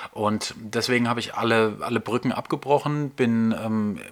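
A man at medium pitch with fairly even intonation, over noticeable background noise. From Baden-Württemberg, Germany (Nussloch near Heidelberg). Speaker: photographer and podcast host. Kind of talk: casual monologue. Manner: hesitant, many filler sounds.

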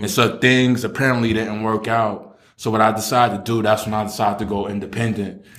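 With a New York accent, a man talks at a very fast pace with hardly any pauses, his fairly low voice flat and monotone over noticeable background noise. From New York City, Brooklyn. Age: 30s. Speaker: author. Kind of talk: casual chat.

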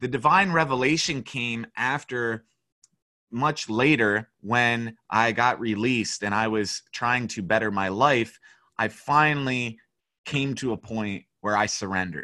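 A man's medium-pitched voice with a bright, sharp tone, fairly slow and with ordinary pitch variation, on a very clean recording with a silent background. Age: 30s. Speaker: spiritual teacher and artist. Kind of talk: casual interview.

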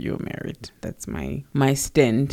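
This speaker has a South African accent and talks at a moderate pace. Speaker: podcast co-host. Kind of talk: casual chat.

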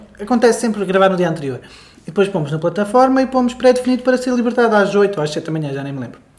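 Very fast speech comes from a man with a European Portuguese accent. His pitch is high. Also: lively intonation. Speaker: podcast co-host. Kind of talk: casual chat. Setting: home living room.

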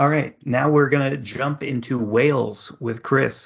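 Somewhat breathy, a man with an American accent speaks at a fairly high pitch with fairly even intonation. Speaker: podcast host. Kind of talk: casual chat about soccer previews.

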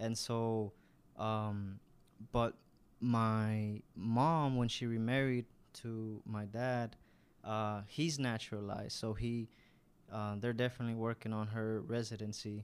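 A man with a medium pitch and an American accent, flat monotone intonation, very slow pace, and long, frequent pauses. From US South (Arkansas, Georgia). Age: 20s. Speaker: church volunteer. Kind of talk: interview, personal testimony. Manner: halting, many fillers.

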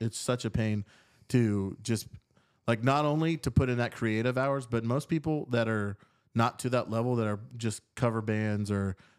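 A man speaks at a moderate pace in a normal speaking voice with a medium pitch. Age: 20s. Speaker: musician in a band. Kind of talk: casual chat. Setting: host's apartment.

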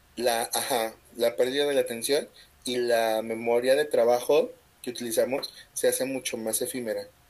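A man's medium-pitched, monotone voice at a moderate pace, flat in intonation, on a very clean recording with a silent background. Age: 30s. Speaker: podcast host. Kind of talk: casual chat.

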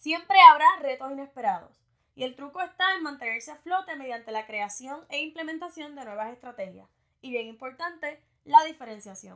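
In a high voice with lively intonation, a woman speaks at a moderate pace, her loudness swinging widely. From Puerto Rico, Morovis. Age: 20s. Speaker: marketing podcaster. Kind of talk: solo podcast monologue.

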